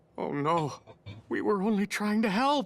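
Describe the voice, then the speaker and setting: A fairly high-pitched cartoonish character voice, moving at a moderate speed. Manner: polite, formal.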